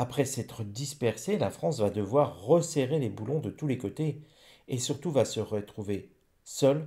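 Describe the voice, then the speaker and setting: Against a silent background in a very clean recording, a man with a medium-pitched, somewhat breathy voice and a dark, mellow tone uses lively intonation broken by long, frequent pauses. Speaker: psychic / rune reader. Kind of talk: divination reading monologue. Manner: stumbling over words.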